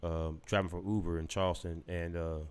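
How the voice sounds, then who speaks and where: The recording is very clean, with a silent background. A man speaks in a Lowcountry accent. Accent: Southern Lowcountry, Gullah-tinged. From South Carolina (Gullah/Lowcountry). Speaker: podcast host. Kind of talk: casual commentary with reading aloud. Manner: emotional, halting.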